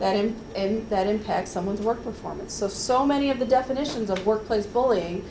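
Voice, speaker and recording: Against noticeable background noise and audible room echo, a woman speaks at a fairly high pitch with fairly even intonation. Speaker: HR trainer. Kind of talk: workplace training presentation. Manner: fast.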